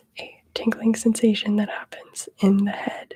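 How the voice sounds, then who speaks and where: A soft-spoken woman whispers. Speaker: ASMR presenter for student wellness. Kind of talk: ASMR mindfulness session. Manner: whispering, soft-spoken; slow, relaxed.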